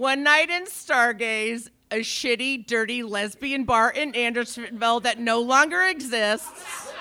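With noticeable background noise, the speech moves at a fairly slow pace with hardly any pauses and ordinary pitch variation. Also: woman, high pitch for a woman. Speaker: storyteller, actor and improviser. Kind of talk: live storytelling.

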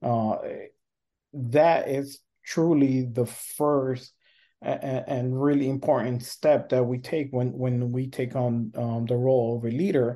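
Against a quiet background, a man speaks at a very slow pace with a slight non-native accent. His medium-pitched voice has a dark, mellow tone and fairly even intonation. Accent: slight foreign. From born abroad, raised in US from early age. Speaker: leadership coach and professor. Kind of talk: interview conversation. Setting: remote call. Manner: hesitant, many fillers.

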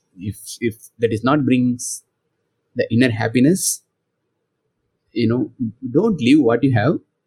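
A man's dark, mellow, somewhat breathy voice at a fairly slow pace, with ordinary pitch variation and long, frequent pauses. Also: medium pitch for a man. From India, rural background. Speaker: software craftsman and author. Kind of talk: interview. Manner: halting.

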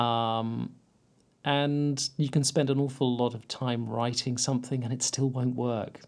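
Fairly slow speech from a man, its intonation monotone and flat. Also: medium pitch for a man. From Cornwall, West Penwith (St Ives). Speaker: poet and creative writing lecturer. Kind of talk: casual interview chat. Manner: halting.

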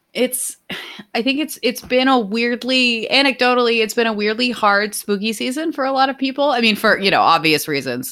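With a bright, sharp tone and fairly high pitch, a woman speaks at a fairly quick pace, her pitch swinging very widely. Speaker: podcast co-host. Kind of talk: casual chat.

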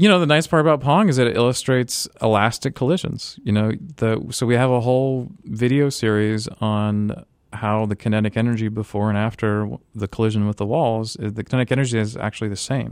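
A man's ordinary speaking voice at a medium pitch, fairly quick, with ordinary pitch variation, on a very clean recording with a silent background. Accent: American. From US South, Florida (Tampa area). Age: 30s. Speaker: physics professor. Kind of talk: interview. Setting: studio.

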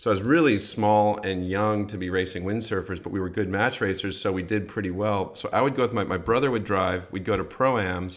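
An ordinary speaking voice from a man with an American accent, fairly low in pitch and fairly quick in pace. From US Midwest. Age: 40s. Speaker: podcast host. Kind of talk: casual chat.

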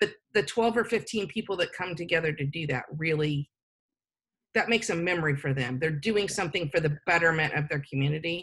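A woman with a plain, everyday voice talks at a fairly quick pace, her fairly low pitch showing ordinary variation. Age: 50s. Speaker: nonprofit executive director. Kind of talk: interview.

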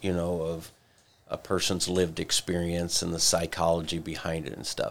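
The very clean recording, with a silent background, carries a man's very deep, low pitch. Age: 60s. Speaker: pastor. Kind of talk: casual chat. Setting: studio.

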